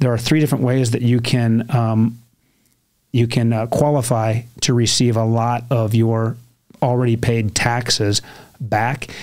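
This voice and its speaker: Speaking in an American accent, a man keeps a flat, monotone intonation at medium pitch. His pace is fairly slow. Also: very even loudness. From US Midwest, Ohio. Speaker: entrepreneur and mortgage company founder. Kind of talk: podcast interview. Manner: casual, conversational.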